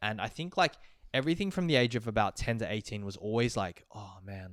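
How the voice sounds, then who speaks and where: A man with an Australian accent and ordinary pitch variation. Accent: normal Australian. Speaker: podcast co-host. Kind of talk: casual chat. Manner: casual, many fillers.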